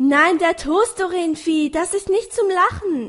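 A woman's whiny put-on character voice at an extremely high pitch, fairly slow in pace, with ordinary pitch variation. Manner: whiny, agitated.

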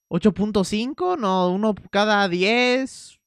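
Over a quiet background with dry sound and no echo, a man sounds animated at a high pitch with ordinary pitch variation. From Mexico. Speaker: YouTuber reacting to videos. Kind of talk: casual video reaction commentary. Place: home room. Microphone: studio mic.

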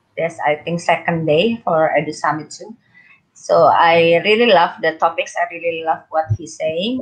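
A woman with an Indonesian accent, fairly low in pitch, at a moderate pace, with ordinary pitch variation and big swings in loudness. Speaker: kindergarten teacher. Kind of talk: casual chat. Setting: video call. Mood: warm, enthusiastic. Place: home room. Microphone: video call.

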